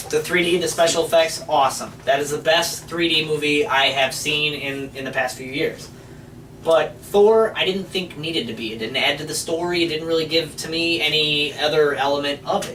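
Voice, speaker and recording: A man at fairly high pitch with ordinary pitch variation and a moderate pace, amid noticeable background noise and audible room echo. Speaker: movie review show co-host. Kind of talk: casual chat. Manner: loud.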